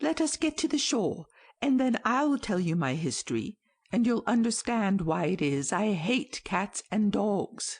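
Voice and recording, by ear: A shaky, put-on character voice at a fairly high pitch and a moderate pace, over a quiet background.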